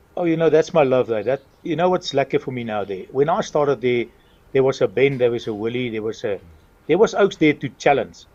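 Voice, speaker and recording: Here a man speaks at a fairly quick pace in a fairly high pitch with lively intonation. His is a plain, everyday voice. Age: 60s. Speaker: retired racing driver and town mayor. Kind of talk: interview.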